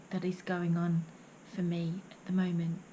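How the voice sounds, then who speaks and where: Dark, mellow tone and somewhat breathy quality from a woman. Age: 50s. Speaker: poet and vlogger. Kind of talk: reading aloud; vlog monologue.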